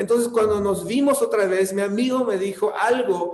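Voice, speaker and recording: The man's speech carries audible room echo along with noticeable background noise. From California. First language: English (speaking Spanish). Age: 40s. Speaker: pastor. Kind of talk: sermon. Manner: halting.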